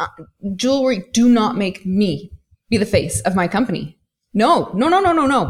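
A woman speaks at a moderate pace in a fairly high, somewhat breathy voice with lively intonation. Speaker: e-commerce coach. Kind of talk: casual interview chat.

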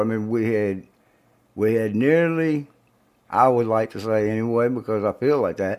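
A man with an American accent has an unremarkable speaking voice, fairly low in pitch. He moves at a moderate pace with ordinary pitch variation. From US South. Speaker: podcast co-host. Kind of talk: casual chat.

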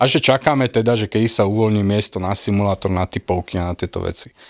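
Recorded very cleanly with a silent background and a dry, close sound with no echo, a man uses a normal speaking voice at a moderate pace with ordinary pitch variation. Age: 40s. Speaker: airline pilot. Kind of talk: casual chat.

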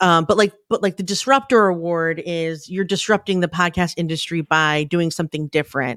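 A woman's fairly low-pitched, a plain, everyday voice at a moderate pace with ordinary pitch variation, on a very clean recording with a silent background. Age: 40s. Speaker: podcast community founder. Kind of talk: casual interview.

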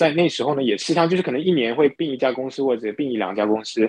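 With lively intonation and a medium pitch, a man rattles off his words very fast. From Singapore. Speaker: entrepreneur and investor. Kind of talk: interview. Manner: halting, many fillers.

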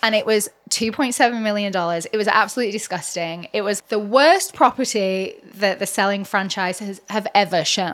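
Speaking at a moderate pace with hardly any pauses, a woman with an English accent uses a medium pitch and ordinary pitch variation. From England. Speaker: realtor and reality TV cast member. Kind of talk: casual interview chat.

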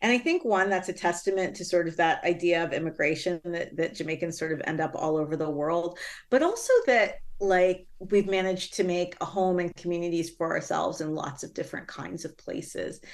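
Against a quiet background, a woman with an ordinary speaking voice talks at a fairly quick pace and fairly low pitch, her intonation fairly even and with hardly any pauses. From Toronto area, Canada. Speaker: author and professor. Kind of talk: interview.

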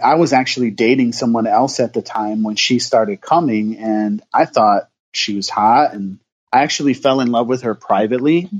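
A man with an unremarkable speaking voice talks at a moderate pace and medium pitch, the sound dry and close with no echo. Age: 40s. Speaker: pastor. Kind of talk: casual chat.

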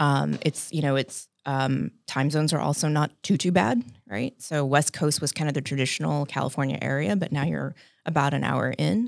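A woman's very deep, low pitch with vocal fry, ordinary pitch variation and a moderate pace, in a very clean recording with a silent background. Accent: American. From South Texas, San Antonio. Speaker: business founder and CEO. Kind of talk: casual interview.

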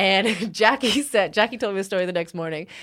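A woman with an American accent, lively intonation and a moderate pace. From northern California. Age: 30s. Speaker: mixed martial arts fighter. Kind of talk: casual chat.

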